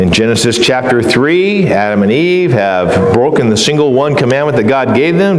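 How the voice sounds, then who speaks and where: A man's voice moves through very wide pitch swings. Audible room echo can be heard. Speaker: preacher. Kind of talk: sermon. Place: church.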